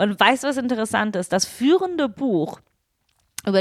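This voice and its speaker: A woman speaks with a non-native accent and lively intonation. The recording is very clean, with a silent background. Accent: foreign accent in German. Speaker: podcast co-host, media producer. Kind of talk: casual chat.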